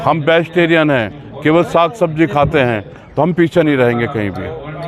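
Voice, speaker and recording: Noticeable background noise under a man's fairly high voice with ordinary pitch variation. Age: 70s. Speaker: cow protection activist. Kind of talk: street interview. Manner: halting.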